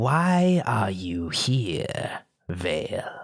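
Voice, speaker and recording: This is a put-on character voice. It sits at a low-to-middle pitch. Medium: actual play. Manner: smooth, probing.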